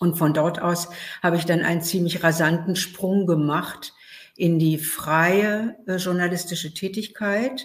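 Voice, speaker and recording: Her loudness very even and her intonation fairly even, a woman with a fairly low pitch speaks at a very slow pace. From Berlin, Germany. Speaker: author and journalist. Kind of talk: interview.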